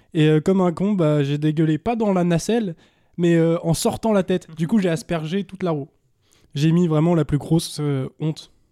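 This man has a high pitch and a dark, mellow tone, with ordinary pitch variation. He talks at a moderate pace in a dry, close sound with no echo. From Anjou, western France. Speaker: stand-up comedian, comedy club co-manager. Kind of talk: casual chat.

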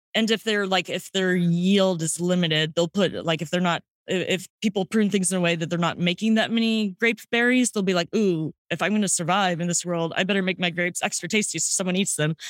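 A woman with an American accent speaks at a fairly quick pace, her pitch medium and her intonation fairly even. It is an unremarkable speaking voice with very even loudness, in a dry, close sound with no echo. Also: hardly any pauses. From St. Louis, Missouri, US Midwest. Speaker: sommelier and wine podcaster. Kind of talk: casual interview chat. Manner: casual, filler-heavy.

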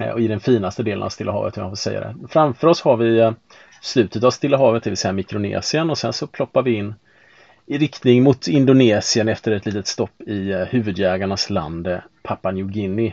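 Talking at a fairly quick pace, a man uses an ordinary speaking voice with a fairly low pitch and ordinary pitch variation. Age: 40s. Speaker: sailing podcast host, IT worker. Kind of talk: casual chat. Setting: on board a sailboat.

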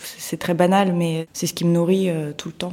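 In a dark, mellow tone, a woman speaks at a fairly low pitch with monotone, flat intonation. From Moscow, Russia. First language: Russian (speaking French). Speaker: photographer and artist. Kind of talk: interview. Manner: halting, hesitant.

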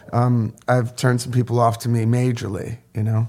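This man talks in an American accent with a somewhat breathy voice. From upstate New York (Sullivan County). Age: 50s. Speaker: photographer and professor. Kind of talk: casual interview chat. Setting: studio.

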